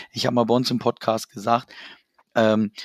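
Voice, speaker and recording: A man's medium-pitched voice comes across dry and close, with no echo. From Germany, Hanover. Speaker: football fan club president. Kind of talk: casual chat.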